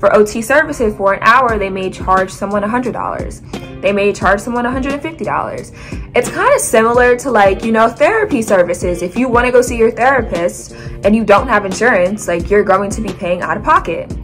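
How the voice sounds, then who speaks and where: A woman talks at a moderate pace with hardly any pauses and ordinary pitch variation while clear music plays in the background. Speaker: occupational therapist vlogger. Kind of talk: casual vlog chat. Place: home room. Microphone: phone near.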